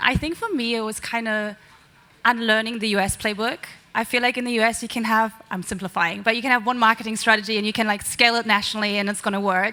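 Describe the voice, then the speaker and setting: Delivered at a very fast pace in a German accent, the speech stays monotone with flat intonation. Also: woman. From Germany. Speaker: marketing executive. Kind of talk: panel discussion.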